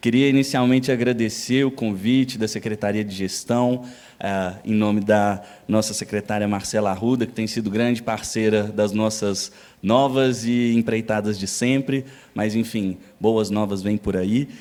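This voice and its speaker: A man speaks at a fairly slow pace in a fairly low voice, with a Minas Gerais accent and fairly even intonation. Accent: Minas Gerais accent, noticeable. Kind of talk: lecture.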